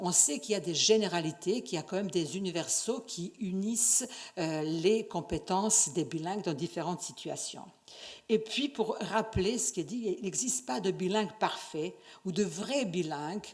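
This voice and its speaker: A woman with a non-native accent, medium pitch and lively intonation. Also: moderate pace. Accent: foreign accent in French. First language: not French (speaking French). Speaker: university researcher, conference speaker. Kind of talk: conference lecture. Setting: conference stage with audience. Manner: hesitant, many fillers and restarts.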